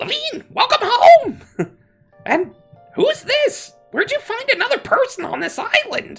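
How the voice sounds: Faint music plays behind a man doing a put-on character voice, squeaky and extremely high-pitched. He keeps a moderate pace with long, frequent pauses.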